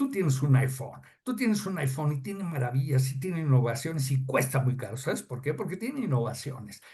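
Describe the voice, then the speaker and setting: A man's fairly high voice is somewhat breathy, with a dark, mellow tone and ordinary pitch variation. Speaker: customs advisor. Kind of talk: podcast interview explaining technical topic. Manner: halting, many fillers.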